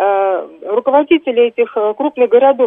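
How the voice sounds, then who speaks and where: A high-pitched woman's voice is heard. Her intonation is lively. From Moscow, Russia. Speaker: radio caller. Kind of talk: call-in question.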